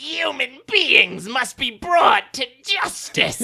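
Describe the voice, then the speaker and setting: A high-pitched put-on character voice at a very slow pace. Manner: villainous, menacing.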